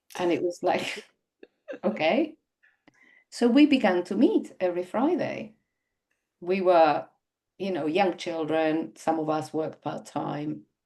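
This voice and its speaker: A woman with a non-native accent speaks in a fairly low, dark, mellow voice with very wide pitch swings. Her pace is fairly slow, with long, frequent pauses. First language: not English. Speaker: website designer. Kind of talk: podcast interview.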